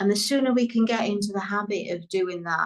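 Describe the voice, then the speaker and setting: A woman with a British accent, medium pitch, ordinary pitch variation and a fairly slow pace. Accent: British accent, remarked as beautiful. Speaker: business coach. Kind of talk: interview.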